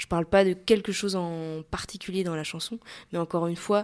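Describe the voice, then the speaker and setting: A woman's medium-pitched voice, with fairly even intonation, sits on a very clean recording with a silent background. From western France, Maine-et-Loire. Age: 20s. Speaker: singer. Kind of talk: interview. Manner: hesitant, many fillers.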